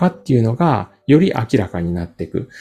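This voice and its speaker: Over a quiet background, a man with a dark, mellow tone speaks at a moderate pace with very wide pitch swings. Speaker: company founder and career workshop instructor. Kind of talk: interview. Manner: filler-heavy, conversational.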